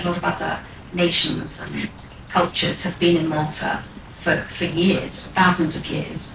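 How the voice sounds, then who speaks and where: The voice moves at a fairly slow pace. Noticeable background noise and audible room echo fill the recording. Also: woman. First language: Maltese as a small child. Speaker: radio presenter. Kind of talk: interview talk at live event.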